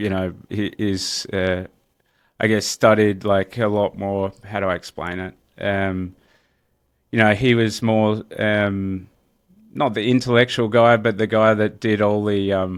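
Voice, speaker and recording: Speaking at a fairly slow pace in an Australian accent, a man keeps a monotone, flat intonation at fairly low pitch in a very clean recording with a silent background. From Australia, Melbourne. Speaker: real estate entrepreneur. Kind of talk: interview. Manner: casual, many fillers.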